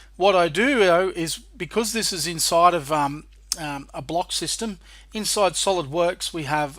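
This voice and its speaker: In an Australian accent, a man speaks at a moderate pace with ordinary pitch variation on a very clean recording with a silent background. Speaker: software trainer and developer. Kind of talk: tutorial.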